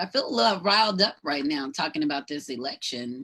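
A woman speaks with a Southern US accent. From US South, North Georgia. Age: 50s. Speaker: podcast host. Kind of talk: solo livestream monologue. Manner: animated.

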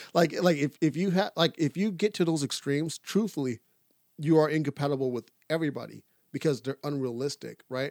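This man has a plain, everyday voice, fairly high in pitch with ordinary pitch variation, at a fairly quick pace. The sound is dry and close with no echo. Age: 30s. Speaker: podcast co-host. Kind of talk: casual chat.

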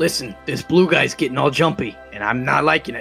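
Music plays in the background as a man in a raspy, put-on character voice with a fairly high pitch talks at a fairly quick pace with lively intonation. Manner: attempted country accent, jokey.

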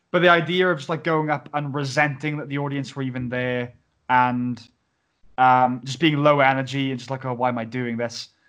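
In a South Wales accent, a man talks at a medium pitch with fairly even intonation against a quiet background. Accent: Welsh (South Wales Valleys). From Wales, Pontypridd. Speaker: podcast host. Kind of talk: casual chat. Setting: video call.

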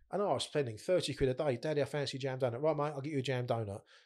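On a very clean recording with a silent background, a man talks very fast in a fairly high voice with ordinary pitch variation. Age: 40s. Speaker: bereaved father and charity founder. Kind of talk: casual chat.

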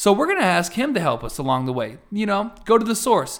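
A man speaks in an animated tone, recorded very cleanly against a silent background. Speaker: podcast host. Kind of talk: casual chat. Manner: animated, excitable.

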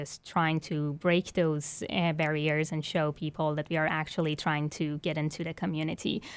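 The speaker has a Persian accent. The recording is very clean, with a silent background. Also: woman. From Iran. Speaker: violinist and arts administrator. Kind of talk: interview.

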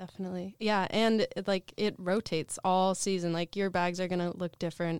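Speaking with an American accent, a woman keeps a medium pitch, a moderate pace and a flat, monotone intonation. The recording is very clean with a silent background and a dry, close sound with no echo. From Portland area, US Pacific Northwest. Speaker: nonprofit food hub manager. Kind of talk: interview.

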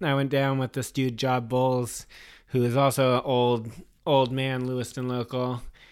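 In an American accent, a man talks at a moderate pace with monotone, flat intonation. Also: medium pitch for a man. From Texas, near Austin, then Maine. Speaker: skateboarder. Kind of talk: casual chat.

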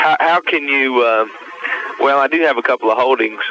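A man talks at a moderate pace. The sound is dry and close with no echo, with noticeable background noise. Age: 20s. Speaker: caller. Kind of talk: phone-in question. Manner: halting.

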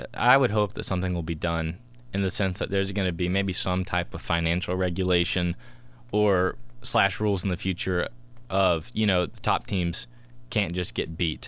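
A man with a very deep, low voice and an American accent, at a moderate pace with fairly even intonation. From United States. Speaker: podcast co-host. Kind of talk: casual chat.

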